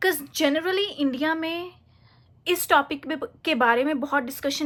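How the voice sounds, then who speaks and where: The tone is bright and sharp, and the pitch varies in an ordinary way. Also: woman. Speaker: motivational vlogger. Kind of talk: casual talk to camera. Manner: halting, searching for Hindi words.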